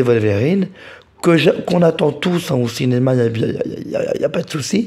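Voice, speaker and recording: A man speaks in a dark, mellow tone that is somewhat breathy. He takes a fairly slow pace. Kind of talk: casual talk to camera. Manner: hesitant, repeats words.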